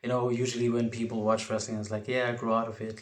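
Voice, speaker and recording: Audible room echo surrounds a man as he speaks. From South Africa, Port Elizabeth. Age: young. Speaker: wrestling podcaster. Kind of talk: podcast monologue. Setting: home bedroom.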